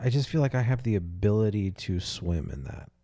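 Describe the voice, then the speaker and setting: A man talks in a somewhat breathy voice with a dark, mellow tone and ordinary pitch variation. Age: 20s. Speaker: podcast host. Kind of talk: casual chat.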